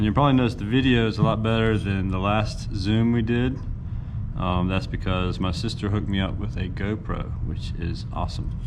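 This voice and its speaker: There is audible room echo and noticeable background noise. A man with a fairly low pitch talks at a fairly quick pace with ordinary pitch variation. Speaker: art teacher. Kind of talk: tutorial. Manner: casual, upbeat.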